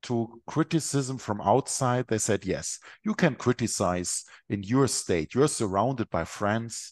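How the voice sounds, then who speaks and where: A man with a German accent at medium pitch, very slow pace and ordinary pitch variation, in a quiet background. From Germany. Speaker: Benedictine abbot. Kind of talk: interview conversation. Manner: halting, hesitant with fillers.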